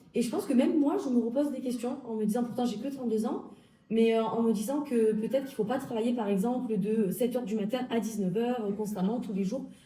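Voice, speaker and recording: With audible room echo around her, a woman with a fairly high pitch talks very fast, with ordinary pitch variation. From southern France, Alpes-de-Haute-Provence. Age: 30s. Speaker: health law graduate. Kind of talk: interview.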